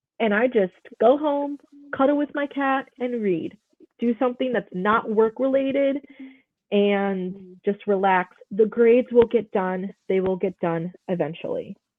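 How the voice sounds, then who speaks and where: A woman with an American accent, a fairly high pitch, lively intonation and a fairly slow pace, in an ordinary speaking voice. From Chicago, northwest side. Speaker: high school teacher. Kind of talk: casual interview chat.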